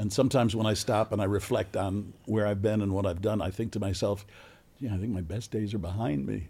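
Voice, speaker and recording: A man's somewhat breathy voice at a fairly quick pace, fairly even intonation, very clean recording with a silent background. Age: 70s. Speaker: podcast host. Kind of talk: casual interview.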